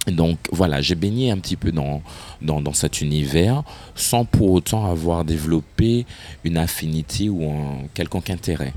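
Very deep and low, a man's voice moves at a fairly slow pace. Its pitch varies in an ordinary way. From Martinique. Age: 30s. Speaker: fashion and carnival personality. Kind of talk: interview.

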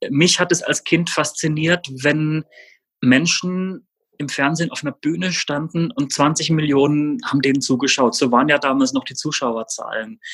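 In a dry, close recording with no echo, a fairly high-pitched man talks at a moderate pace with ordinary pitch variation. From Baden-Württemberg, Germany (Rastatt, Baden). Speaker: journalist. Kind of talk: interview. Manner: hesitant, many fillers.

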